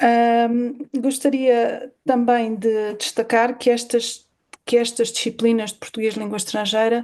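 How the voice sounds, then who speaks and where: A woman talks at a fairly slow pace. Her fairly high pitch has a dark, mellow tone. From Portugal, Alentejo. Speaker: university professor. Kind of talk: conference talk. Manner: hesitant, many fillers.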